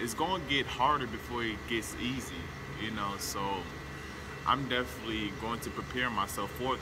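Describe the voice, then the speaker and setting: Noticeable background noise around a man's moderately paced speech. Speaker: aspiring activist vlogger. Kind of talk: personal monologue to camera. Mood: earnest, calm, determined. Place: open country.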